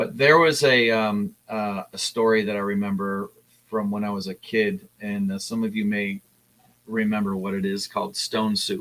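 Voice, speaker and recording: The speaker talks at a moderate pace. The intonation stays fairly even. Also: man, fairly low pitch for a man. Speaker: comic artist streaming while drawing. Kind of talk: casual live-stream talk while drawing. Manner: halting, many fillers and sentence fragments.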